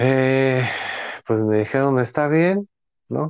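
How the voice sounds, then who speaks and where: With a Mexico City accent and lively intonation, a man talks at a very slow pace in a dry, close sound with no echo. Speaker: actor and writer. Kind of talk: casual chat.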